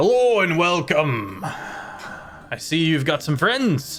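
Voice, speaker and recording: A man performs a put-on character voice at a fairly high pitch and very slow pace. His pitch swings very widely, over clear music in the background. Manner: welcoming, gruff.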